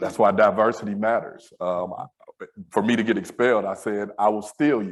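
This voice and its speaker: Using a normal speaking voice, a man with an American accent talks at a moderate pace, fairly low in pitch and with fairly even intonation. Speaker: school safety director. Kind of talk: panel discussion.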